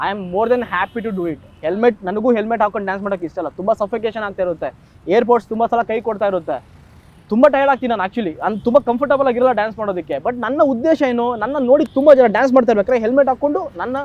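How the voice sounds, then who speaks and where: A man's extremely high voice shows ordinary pitch variation. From India, Karnataka (raised in Mumbai and Bengaluru). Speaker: road-safety content creator. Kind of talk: interview.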